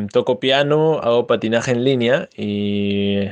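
A man talks against a quiet background. He has an ordinary speaking voice with ordinary pitch variation. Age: 20s. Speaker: podcast co-host. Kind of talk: casual chat.

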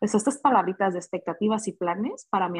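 A woman speaks at a medium pitch with a somewhat breathy voice. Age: 20s. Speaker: guest, friend of host. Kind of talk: casual chat.

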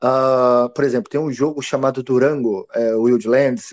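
A man speaks at a medium pitch in a dark, mellow tone with fairly even intonation, the very clean recording dry and close, with no echo and a silent background. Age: 30s. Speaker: game studio founder and ex pro gamer. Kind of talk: casual interview chat.

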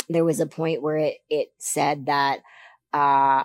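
The speech moves at a slow pace. Its tone is slightly mellow. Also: woman.

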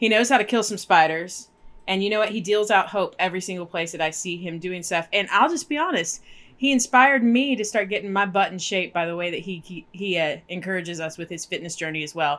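A woman's unremarkable speaking voice at medium pitch, fairly quick in pace, with ordinary pitch variation. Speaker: podcast co-host. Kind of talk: casual chat.

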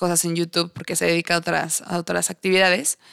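A woman's fairly low voice with a Mexican accent, dry and close with no echo, on a very clean recording with a silent background. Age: 20s. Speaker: podcast host. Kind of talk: casual monologue.

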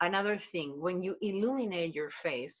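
A woman with a Spanish accent at a medium pitch. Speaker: body language expert. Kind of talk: interview. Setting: video call.

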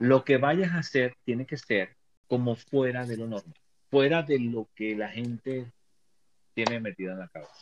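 A man speaks at a medium pitch and a fairly slow pace, his loudness swinging widely. The sound is dry and close with no echo. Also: ordinary pitch variation. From Venezuela. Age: 50s. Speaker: tarot reader and motivational coach. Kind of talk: casual chat. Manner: halting.

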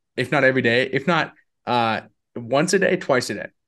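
A man speaks at a moderate pace with lively intonation and a fairly high pitch. The background is quiet. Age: 20s. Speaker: entrepreneur and business speaker. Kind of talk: casual interview chat. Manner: halting, many fillers and repetitions.

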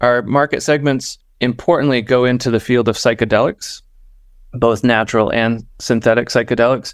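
In an American accent, an ordinary speaking voice keeps a moderate pace and very even loudness on a very clean recording with a silent background. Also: man, medium pitch for a man. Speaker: startup co-founder. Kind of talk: casual interview.

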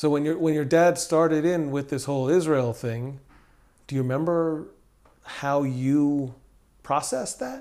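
A dark, mellow tone with fairly even intonation moves at a fairly slow pace. Long, frequent pauses sit on a very clean recording with a silent background. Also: man, fairly high pitch for a man. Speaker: podcast host. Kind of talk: interview conversation. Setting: in-person recording in Jerusalem.

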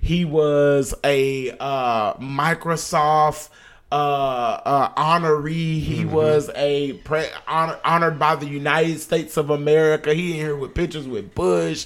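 A man with an unremarkable speaking voice talks fairly slowly with hardly any pauses and fairly even intonation. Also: fairly high pitch for a man. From Texas, Oak Cliff (Dallas). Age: 30s. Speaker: podcast co-host. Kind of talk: casual chat.

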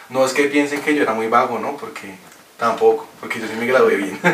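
A man is speaking, and there is noticeable background noise. Audible room echo can also be heard. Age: 20s. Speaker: podcast guest. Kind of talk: casual chat. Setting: in person in studio.

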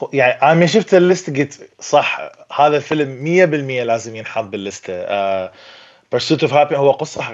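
Lively intonation marks this man's fairly high-pitched voice. He talks at a moderate pace. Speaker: movie critic. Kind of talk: casual chat.

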